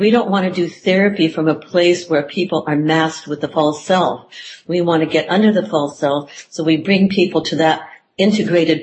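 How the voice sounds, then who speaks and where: A somewhat breathy woman's voice, fairly low in pitch, at a moderate pace with fairly even intonation. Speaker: psychotherapist. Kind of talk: interview conversation.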